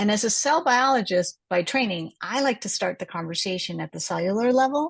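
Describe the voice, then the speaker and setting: A woman speaks at a fairly quick pace with lively intonation and a medium pitch. She has a plain, everyday voice. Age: 60s. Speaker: cell biologist. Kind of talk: health lecture. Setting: online group call with screen share.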